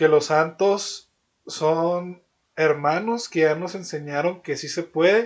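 Speaking at a very slow pace, the man has a fairly high pitch with ordinary variation. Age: 20s. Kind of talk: casual religious discussion. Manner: halting, with frequent repetitions.

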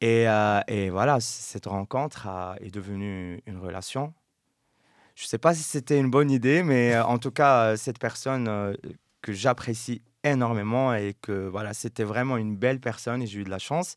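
A man with an ordinary speaking voice talks at a moderate pace and medium pitch, using ordinary pitch variation and big swings in loudness, on a very clean recording with a silent background. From Morocco. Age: young. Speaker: podcast host. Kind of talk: casual chat.

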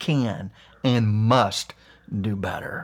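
A man with an Appalachian accent. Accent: Appalachian American. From US Appalachia, West Virginia. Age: 50s. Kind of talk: monologue rant.

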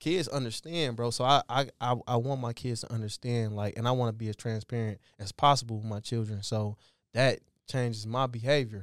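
Recorded very cleanly with a silent background and a dry, close sound with no echo, a man uses an unremarkable speaking voice at medium pitch with fairly even intonation. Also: fairly quick pace. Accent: American. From Detroit, Michigan. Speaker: professional football player. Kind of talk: casual chat.

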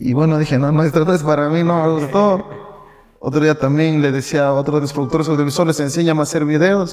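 An unremarkable speaking voice from a man, fairly quick in pace and fairly high in pitch. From Ecuador, Loja. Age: 20s. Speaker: entrepreneur and trading educator. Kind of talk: podcast interview.

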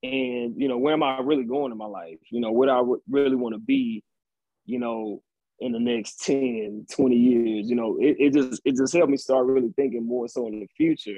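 At a moderate pace with ordinary pitch variation, this is an ordinary speaking voice. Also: man, medium pitch for a man. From Texas, Austin. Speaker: data analyst, actor and poet. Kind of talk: casual interview chat.

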